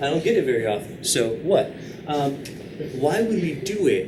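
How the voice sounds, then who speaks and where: Noticeable background noise and audible room echo around a man's voice. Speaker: math teacher. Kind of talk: lecture. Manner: fast.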